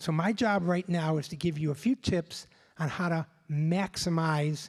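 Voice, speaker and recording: A man speaks at a moderate pace in a normal speaking voice, fairly high in pitch with ordinary pitch variation, on a very clean recording with a silent background and a dry, close sound with no echo. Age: 60s. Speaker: business executive. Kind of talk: conference speech.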